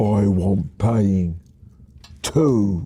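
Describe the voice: Someone puts on a husky character voice. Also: man, fairly low pitch for a man.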